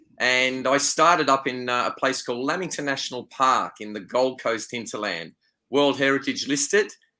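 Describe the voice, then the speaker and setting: Speaking with an Australian accent, a man has a bright, sharp tone and a medium pitch. His pace is moderate and his pitch varies in an ordinary way. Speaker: wildlife photographer and tour leader. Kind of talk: interview conversation.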